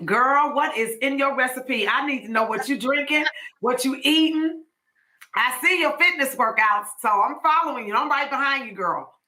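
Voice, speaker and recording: Raised and projected, a woman's voice rings out with a bright, sharp tone and high pitch. She keeps a moderate pace with ordinary pitch variation. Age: 50s. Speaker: podcast host. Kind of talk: casual chat. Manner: animated.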